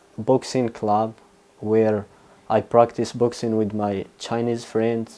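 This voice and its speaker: A man's dark, mellow tone at medium pitch with a Moroccan accent. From Morocco. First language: Arabic. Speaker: university student. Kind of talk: interview. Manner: halting, frequent filler sounds.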